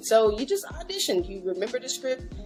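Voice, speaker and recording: A woman with an American accent talks in a bubbly tone over music in the background. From Dallas, Texas. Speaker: media personality. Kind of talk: interview answer.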